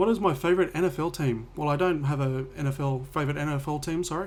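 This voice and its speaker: Speaking at a very fast pace with an Australian accent, a man with a fairly high pitch and ordinary pitch variation sounds somewhat breathy. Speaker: home cook and cooking video creator. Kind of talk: Q&A vlog. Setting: home office. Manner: casual, with hesitations.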